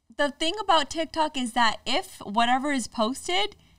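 A woman speaks in a raised, projected voice at a moderate pace, her tone animated, bright and sharp. Her pitch swings very widely, and the sound is dry with no echo over a quiet background. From Indian heritage. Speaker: social media content creator; podcast guest. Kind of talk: casual chat. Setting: studio. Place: studio. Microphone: studio mic.

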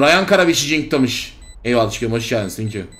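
Speaking at a moderate pace in an animated tone, a man uses lively intonation amid noticeable background noise and audible room echo. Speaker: gaming streamer. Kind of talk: live gameplay commentary.

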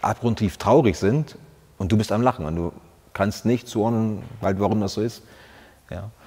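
This man speaks at a moderate pace in a fairly low pitch, his tone dark and mellow, with ordinary pitch variation. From Brandenburg, eastern Germany. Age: 40s. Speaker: soldier, former paratrooper squad leader. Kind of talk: interview answer. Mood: reflective, earnest, personal. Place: studio. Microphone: lapel.

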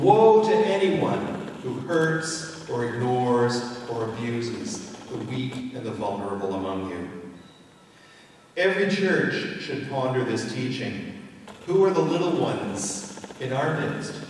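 Speaking at a fairly slow pace, a man is heard over light background noise with strong room echo. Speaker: minister preaching. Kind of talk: sermon.

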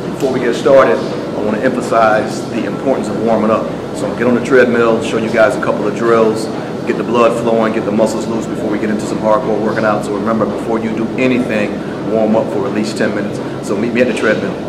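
Over loud background noise, a man talks at a very fast pace. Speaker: fitness trainer. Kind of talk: casual tutorial vlog. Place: gym. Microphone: phone near.

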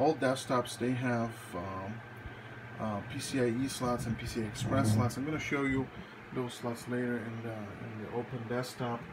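Loud background noise runs behind a man speaking at a moderate pace. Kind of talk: casual tutorial. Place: home room. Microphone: phone near.

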